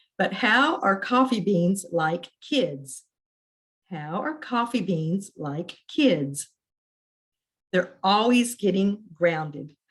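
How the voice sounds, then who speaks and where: Drawling at a very slow pace with long, frequent pauses, a woman uses a put-on character voice at medium pitch with very wide pitch swings. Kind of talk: joke delivery. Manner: slow drawl.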